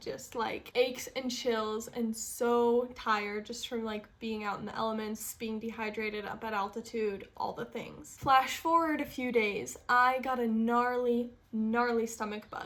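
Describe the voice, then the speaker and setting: A woman's fairly high voice at a fairly slow pace, fairly even in intonation with hardly any pauses, over noticeable background noise. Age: 20s. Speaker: lifestyle YouTuber and life coach. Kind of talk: casual talk to camera.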